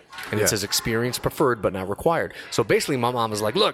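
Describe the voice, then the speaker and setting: A man with an American accent speaks at medium pitch against noticeable background noise. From Los Angeles, California. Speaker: DJ and radio personality. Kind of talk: casual chat. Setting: studio.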